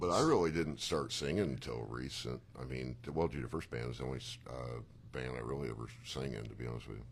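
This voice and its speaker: In a very deep, low voice with vocal fry, a man speaks very fast with ordinary pitch variation, and audible room echo surrounds him. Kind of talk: casual chat.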